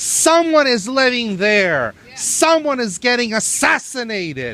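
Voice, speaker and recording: A man projects his voice loudly at an extremely high pitch, with very wide pitch swings and a fairly slow pace. Noticeable background noise runs underneath. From Venezuela, Valencia. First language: Spanish. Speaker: protester. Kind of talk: protest speech. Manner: impassioned.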